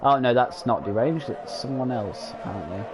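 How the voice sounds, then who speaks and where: A man speaks with music in the background. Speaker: sim racing league commentator. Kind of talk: live commentary. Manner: halting, many fillers.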